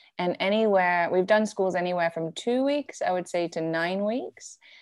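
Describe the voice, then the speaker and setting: A woman with an ordinary speaking voice talks at a fairly slow pace. Her medium pitch shows ordinary variation. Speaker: hospitality education founder. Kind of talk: casual interview. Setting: video call from Mexico.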